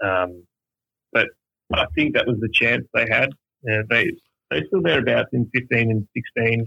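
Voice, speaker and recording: In an Australian accent, a man speaks at a fairly slow pace. Long, frequent pauses break up his speech. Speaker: baseball fan guest. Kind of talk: casual interview chat. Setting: phone call.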